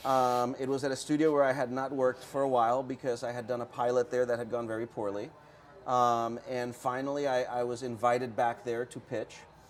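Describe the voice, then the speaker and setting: Speaking at a fairly quick pace, a man with a Spanish accent talks at a medium pitch. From Puerto Rico. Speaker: TV and comics writer. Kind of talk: interview. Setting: comic shop, live-streamed show. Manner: fast; animated.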